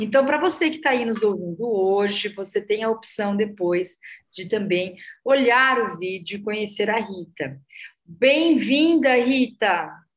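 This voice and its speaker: In a normal speaking voice, a woman talks at a fairly slow pace with lively intonation and a fairly high pitch. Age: 50s. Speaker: podcast host. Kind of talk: interview.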